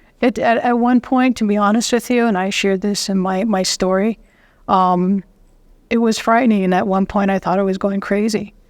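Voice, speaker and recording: An unremarkable speaking voice at a moderate pace, with fairly even intonation and very even loudness, on a very clean recording with a silent background. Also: woman, medium pitch for a woman. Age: 60s. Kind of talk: interview conversation. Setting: psychedelic conference, in person.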